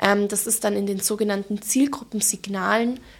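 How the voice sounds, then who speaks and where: The speech moves at a moderate pace. It is delivered with a slight Allgäu accent. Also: woman. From Germany, Allgäu (Bavarian Swabia). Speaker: digital marketing manager. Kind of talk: expert interview.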